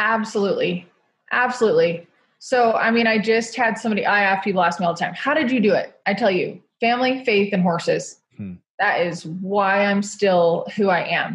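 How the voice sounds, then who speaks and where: At a moderate pace, a woman with an American accent talks at medium pitch, somewhat breathy, with ordinary pitch variation. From Utah. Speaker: motivational speaker and rodeo rider. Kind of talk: interview.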